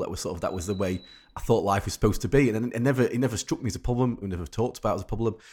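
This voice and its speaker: A man's dark, mellow voice with a Yorkshire accent at a very fast pace and ordinary pitch variation, on a very clean recording with a silent background. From Rotherham, South Yorkshire, England. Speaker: sleep expert. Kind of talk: interview. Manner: halting, many repetitions.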